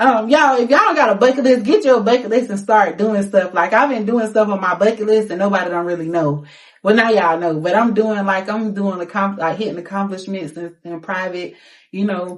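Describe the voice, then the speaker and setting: Animated in tone, this voice moves at a fairly quick pace with ordinary pitch variation. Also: woman, medium pitch for a woman. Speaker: singer and rapper. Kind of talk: casual interview. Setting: studio.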